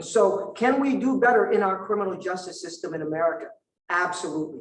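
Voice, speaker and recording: With lively intonation and a high pitch, a man speaks at a moderate pace amid audible room echo. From Vietnam. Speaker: prosecutor, district attorney candidate. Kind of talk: candidate forum answer. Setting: indoor forum with audience.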